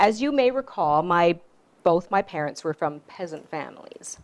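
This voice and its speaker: This speaker has a Canadian accent and a pitch that swings very widely. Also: woman. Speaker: author. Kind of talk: storytelling talk.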